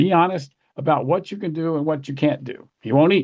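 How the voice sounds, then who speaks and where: A man's fairly high voice with an American accent and ordinary pitch variation. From US South. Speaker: political fundraising expert. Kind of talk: workshop lecture. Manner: fast.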